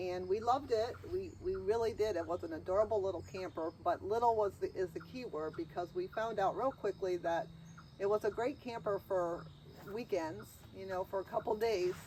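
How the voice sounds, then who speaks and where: At a moderate pace, a woman speaks in a plain, everyday voice with medium pitch and ordinary pitch variation. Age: 60s. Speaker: RV owner and video creator. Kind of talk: casual chat.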